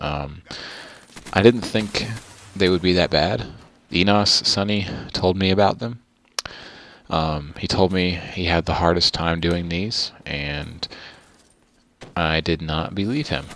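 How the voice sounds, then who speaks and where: A soft-spoken man with a very deep, low pitch, at a very slow pace with long, frequent pauses and ordinary pitch variation. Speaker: gaming youtuber. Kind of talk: gameplay commentary. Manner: hesitant, many ums.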